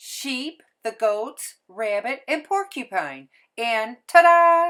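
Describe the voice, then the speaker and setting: A woman puts on a character voice, raised and projected at a high pitch with very wide pitch swings and a very slow pace. The recording is very clean, with a silent background. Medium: read story. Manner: warm, courteous.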